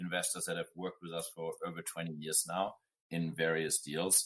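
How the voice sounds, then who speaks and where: A man speaks at a moderate pace with a bright, sharp tone. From Germany. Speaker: serial entrepreneur. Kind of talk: podcast interview answer.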